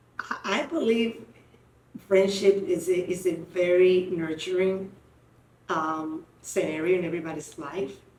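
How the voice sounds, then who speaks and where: Over noticeable background noise and audible room echo, a woman speaks fairly slowly at a medium pitch with ordinary pitch variation. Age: 60s. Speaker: podcast host. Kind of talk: casual chat.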